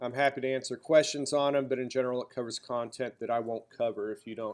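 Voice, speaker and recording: A man with a slight Southern US accent speaks at a medium pitch. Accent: slight drawl. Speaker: college instructor. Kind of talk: lecture.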